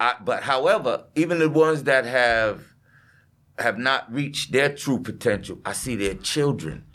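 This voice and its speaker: Over a silent background on a very clean recording, this is a normal speaking voice with an American accent. The intonation is lively and the pace moderate. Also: man, medium pitch for a man. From US, New York City (Southeastern Queens). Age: 50s. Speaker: construction business owner. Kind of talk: casual interview chat.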